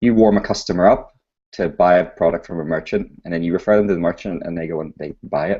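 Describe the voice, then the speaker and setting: The speaker talks at a very fast pace in a British accent. The intonation stays fairly even. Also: man, very deep, low pitch for a man. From UK. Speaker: startup founder. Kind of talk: interview.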